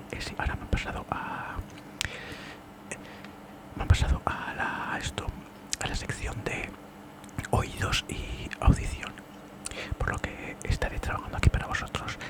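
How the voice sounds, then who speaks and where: Whispering at a fairly slow pace, a man leaves long, frequent pauses while his loudness swings widely against noticeable background noise. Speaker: ASMR creator doing a doctor roleplay. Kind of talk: ASMR doctor roleplay, ear cleaning consultation. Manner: soft-spoken, whispering, casual.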